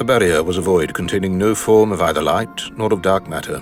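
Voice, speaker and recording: Music plays in the background as a man talks in a very deep, low pitch. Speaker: audiobook narrator. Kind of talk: epic fantasy prologue narration.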